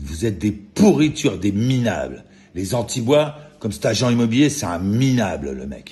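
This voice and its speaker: This man's somewhat breathy voice has a dark, mellow tone, a fairly low pitch and very wide pitch swings. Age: 60s. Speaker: vlogger. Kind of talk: angry rant. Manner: agitated; halting with repetitions.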